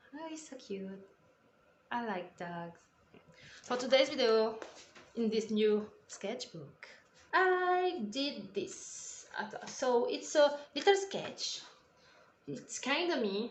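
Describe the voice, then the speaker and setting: In a room with audible echo, a woman speaks very slowly at a high pitch, her pitch swinging very widely between long, frequent pauses. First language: French. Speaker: artist and YouTuber. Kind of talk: drawing tutorial voiceover. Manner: halting; casual.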